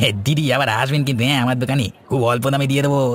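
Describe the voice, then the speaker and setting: Using a cartoonish character voice at a medium pitch, a man talks at a very fast pace. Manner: eager, talkative.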